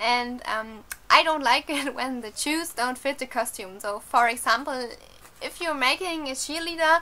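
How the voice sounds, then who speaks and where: A woman's high-pitched, raised, projected voice with a non-native accent, ordinary pitch variation, big swings in loudness and a moderate pace. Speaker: cosplayer. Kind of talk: casual talk to camera. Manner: hesitant, many fillers.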